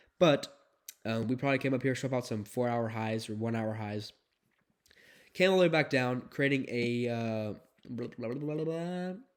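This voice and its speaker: Against a silent background in a very clean recording, a man at a medium pitch talks at a moderate pace with ordinary pitch variation and long, frequent pauses. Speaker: day trader and market analysis youtuber. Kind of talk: tutorial. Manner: hesitant, many fillers.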